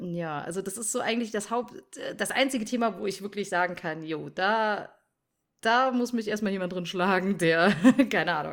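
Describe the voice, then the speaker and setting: In a very clean recording with a silent background, a woman with an unremarkable speaking voice talks at a moderate pace and medium pitch with ordinary pitch variation. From North Rhine-Westphalia, Germany (village). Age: 20s. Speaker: streamer and mother. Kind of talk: casual interview chat.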